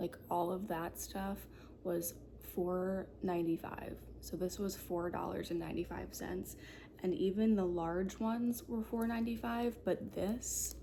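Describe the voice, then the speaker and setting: A soft-spoken woman with a relaxed tone at a very slow pace. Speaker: ASMR content creator. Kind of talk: ASMR show and tell. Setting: quiet apartment at night. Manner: soft-spoken, relaxed.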